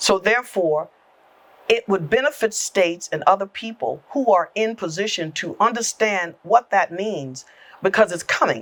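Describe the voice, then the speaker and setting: A woman with an American accent speaks at a moderate pace and a medium pitch. She has a plain, everyday voice with lively intonation. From South Carolina Lowcountry (Awendaw). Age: 60s. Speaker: government agency executive director. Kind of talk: podcast interview.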